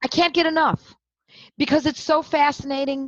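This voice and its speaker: Recorded with a dry, close sound and no echo, a woman talks at a moderate pace with an American accent. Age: 60s. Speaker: homeopath. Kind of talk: podcast conversation. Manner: animated.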